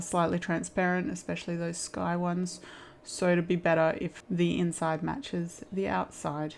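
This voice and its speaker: A woman's relaxed, fairly low voice in an Australian accent, at a moderate pace, in a very clean recording with a silent background. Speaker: stained glass crafter. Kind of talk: tutorial. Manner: casual with fillers.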